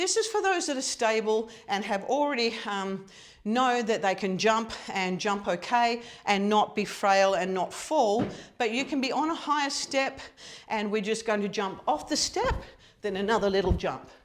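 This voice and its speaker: A woman with a normal speaking voice talks at a moderate pace, her fairly high pitch carried by lively intonation. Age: 60s. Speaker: fitness coach. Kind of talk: tutorial.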